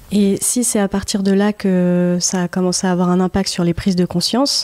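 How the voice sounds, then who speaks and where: A woman's medium-pitched voice with a dark, mellow tone, monotone and flat, at a moderate pace, in a dry, close sound with no echo. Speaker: podcast host. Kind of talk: podcast interview questions. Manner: hesitant.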